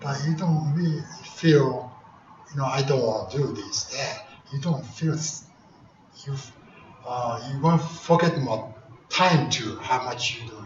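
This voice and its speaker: Amid noticeable background noise and audible room echo, a man with a fairly high voice speaks at a fairly slow pace, with ordinary pitch variation, big swings in loudness and long, frequent pauses. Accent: Japanese. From Japan. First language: Japanese. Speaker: karate grandmaster. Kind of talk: speech. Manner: halting.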